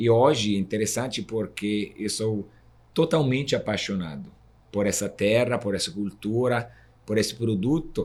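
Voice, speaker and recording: A man's medium-pitched voice moves at a moderate speed with lively, varied intonation. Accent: Italian. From Italy. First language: Italian (speaking Portuguese). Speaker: guaraná producer, association vice-president. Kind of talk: interview podcast conversation.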